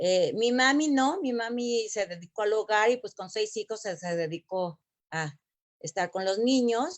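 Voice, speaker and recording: A woman with a Mexico City accent, very slow pace and lively intonation. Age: 60s. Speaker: former Olympic gymnast. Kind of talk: interview. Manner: halting, many fillers.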